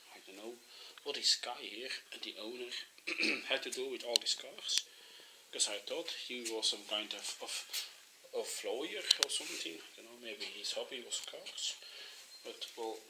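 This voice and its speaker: A man at a moderate pace with long, frequent pauses, over loud background noise. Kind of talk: casual vlog commentary. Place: home room. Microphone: phone near.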